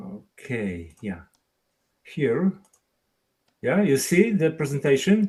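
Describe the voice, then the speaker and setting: In a Polish accent, a man speaks at a very slow pace with long, frequent pauses, his fairly high, dark, mellow voice moving in very wide pitch swings. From Poland, Szczecin. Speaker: experimental photographer. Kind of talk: webinar presentation. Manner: halting.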